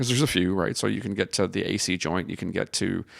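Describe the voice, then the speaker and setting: A man with a very deep, low pitch and vocal fry uses lively intonation on a very clean recording with a silent background. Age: 40s. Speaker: osteopathic podcast host. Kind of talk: paper discussion with reading aloud. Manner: casual, halting with stumbles.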